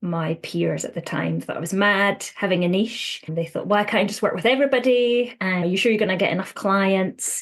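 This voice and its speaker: Speaking at a fairly quick pace with hardly any pauses, a woman talks in a Scottish accent. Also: medium pitch for a woman, ordinary pitch variation. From Scotland. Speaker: counsellor. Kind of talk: interview. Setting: podcast.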